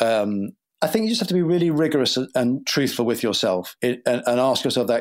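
A man with a British accent and medium pitch speaks at a fairly quick pace with ordinary pitch variation, in a very clean recording with a silent background. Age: 50s. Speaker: TV writer and creator. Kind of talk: interview answers.

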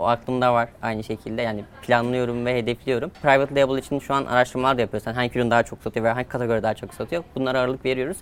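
Through noticeable background noise, a man of medium pitch talks very fast with hardly any pauses and fairly even intonation. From Turkey, rural village. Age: 20s. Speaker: online seller, entrepreneur. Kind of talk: interview.

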